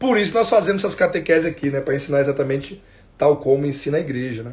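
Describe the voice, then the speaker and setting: The man talks fairly quickly, his fairly high, somewhat breathy voice showing ordinary pitch variation. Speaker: catechism teacher. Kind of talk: religious instruction livestream. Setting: Instagram livestream at home.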